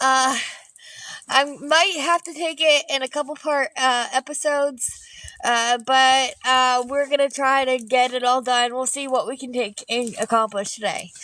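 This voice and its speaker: Her raised, projected voice has a bright, sharp tone and a high pitch. The woman speaks at a fairly slow pace with ordinary pitch variation. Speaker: artist and painting livestreamer. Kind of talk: live painting stream chat. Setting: outdoors in the snow. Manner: loud; hesitant, many fillers.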